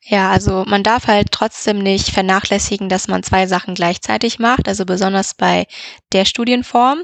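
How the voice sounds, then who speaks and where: At a medium pitch and moderate pace, a woman talks with fairly even intonation against a quiet background, the sound dry and close with no echo. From Germany, Düsseldorf area. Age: 20s. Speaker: business informatics student. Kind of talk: interview. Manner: hesitant with fillers.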